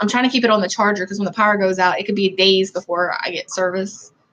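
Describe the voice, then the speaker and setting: This woman talks with a Southern US accent. Her pitch sits in the medium range. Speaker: vlogger. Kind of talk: livestream commentary.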